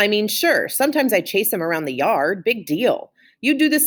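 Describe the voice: What is heard here is plain reading aloud.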